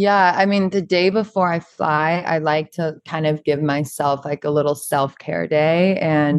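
A woman's very deep, low voice with an American accent, fairly slow and fairly even in intonation, against a quiet background. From US South, Charleston, South Carolina. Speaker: model and beauty brand founder. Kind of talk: podcast interview.

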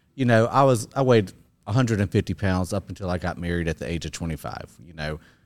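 In a plain, everyday voice, a man talks at a fairly quick pace with lively intonation on a very clean recording with a silent background. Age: 50s. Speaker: gym client sharing fitness journey. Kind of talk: interview.

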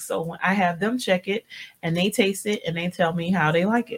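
A somewhat breathy woman's voice at a medium pitch, with ordinary pitch variation and a moderate pace. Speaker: radio host. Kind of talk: casual radio chat. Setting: radio studio.

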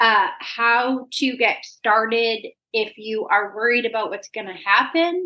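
The woman's words come fairly slowly, and her pitch varies in an ordinary way. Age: 40s. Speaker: fitness coach and CrossFit athlete. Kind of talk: interview.

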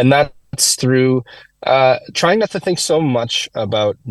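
A somewhat breathy man talks at a moderate pace with lively intonation. The sound is dry and close, with no echo. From Quebec. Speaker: musician. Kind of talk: interview. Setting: in a car.

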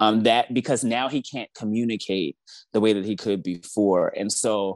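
A man with an American accent and a normal speaking voice talks at a moderate pace. His pitch is fairly low, with ordinary pitch variation. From Baltimore, Maryland. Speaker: author and caregiver. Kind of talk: interview, personal story.

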